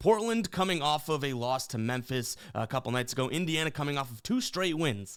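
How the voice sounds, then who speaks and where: Recorded very cleanly against a silent background, a man talks at a fairly quick pace with hardly any pauses, lively intonation and a fairly high pitch. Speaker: sports betting YouTuber. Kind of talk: sports betting picks monologue. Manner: fast; animated.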